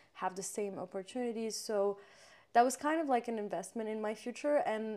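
A woman's fairly high voice, dark and mellow in tone, with ordinary pitch variation, in a very clean recording with a silent background. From Morocco. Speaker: guest. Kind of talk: casual chat.

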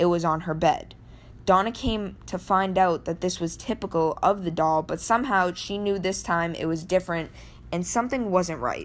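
An ordinary speaking voice from a woman, fairly low in pitch with ordinary pitch variation, at a moderate pace in a very clean recording with a silent background. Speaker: paranormal podcast host. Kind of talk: true-crime horror narration, read-aloud storytelling. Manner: hushed, suspenseful, building dread.

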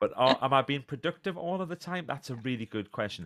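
On a very clean recording with a silent background, a man speaks fairly quickly at a medium pitch with very wide pitch swings, the sound dry and close with no echo. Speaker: motivational speaker and author. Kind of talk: casual interview.

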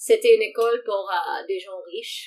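A woman is speaking. She keeps a moderate pace. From Morocco. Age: 30s. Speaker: diversity and inclusion expert. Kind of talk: casual interview.

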